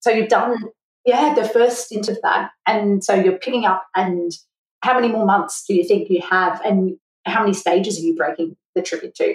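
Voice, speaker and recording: A woman speaks at medium pitch, somewhat breathy. Her pitch varies in an ordinary way. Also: moderate pace. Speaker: podcast host, accountant. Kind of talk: podcast interview.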